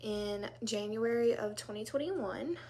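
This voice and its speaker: A woman with an American accent at a fairly slow pace and with ordinary pitch variation. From US South, South Louisiana. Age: 30s. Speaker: direct sales consultant. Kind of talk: casual live talk to group. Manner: casual, many fillers.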